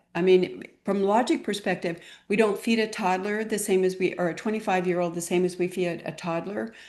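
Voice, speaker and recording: A woman talks at a fairly quick pace, hardly any pauses, in a plain, everyday voice. Her pitch is medium with ordinary variation, and the background is quiet. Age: 60s. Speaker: clinical pharmacist and wellness guide. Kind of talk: interview conversation.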